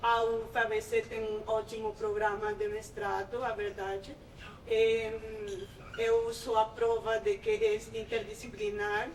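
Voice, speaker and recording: A woman's fairly high-pitched voice with a non-native accent, monotone, flat intonation and a very slow pace. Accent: foreign, non-native Portuguese. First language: Spanish (speaking Portuguese). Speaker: master's student. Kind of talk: informal testimony to prospective students. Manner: halting.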